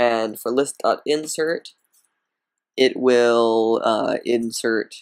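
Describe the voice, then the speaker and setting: Long, frequent pauses punctuate a man's very slow speech. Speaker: programming tutorial maker. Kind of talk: screen-recorded tutorial narration. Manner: hesitant, many fillers.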